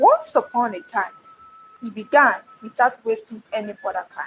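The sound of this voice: A woman with a fairly high pitch speaks at a moderate pace, her fairly bright tone carrying a husky, rough edge and ordinary pitch variation.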